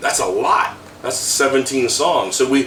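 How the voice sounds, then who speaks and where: A man speaks against noticeable background noise. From US South (South Florida). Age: 50s. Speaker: death metal vocalist. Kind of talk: interview. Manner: casual, conversational.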